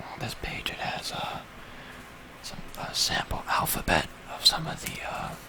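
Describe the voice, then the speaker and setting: Someone whispers at a fairly slow pace amid noticeable background noise. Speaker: ASMR creator. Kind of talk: ASMR book page-through. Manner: whispered, soft-spoken.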